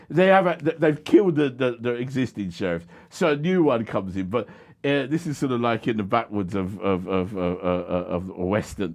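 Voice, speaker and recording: Over music in the background, a man with a South London accent speaks at medium pitch with very wide pitch swings. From South London (Croydon). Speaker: charity founder and education researcher. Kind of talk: podcast interview. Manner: halting, many false starts and fillers.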